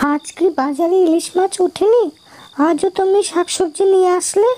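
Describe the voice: Using a cartoonish character voice at an extremely high pitch, a woman speaks at a moderate pace with very even loudness and ordinary pitch variation, the sound dry and close with no echo.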